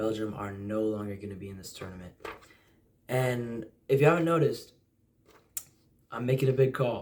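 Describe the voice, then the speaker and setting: With an American accent, a man talks at a medium pitch and fairly quick pace, with long, frequent pauses, big swings in loudness and ordinary pitch variation. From US, Utah. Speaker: football fan vlogger. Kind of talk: casual predictions monologue. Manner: hesitant fillers.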